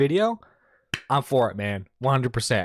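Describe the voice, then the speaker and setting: A man at a moderate pace, in a dry, close sound with no echo, on a very clean recording with a silent background. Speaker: commentary streamer. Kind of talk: reaction stream commentary. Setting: live stream. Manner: stutters a lot.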